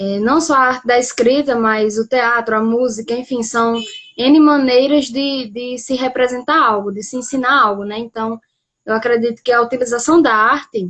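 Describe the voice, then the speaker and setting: A woman speaks with a northeastern Brazilian accent at a moderate pace. Her pitch is high and her intonation fairly even. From Brazil, Rio Grande do Norte. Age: young. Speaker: poet. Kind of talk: casual interview.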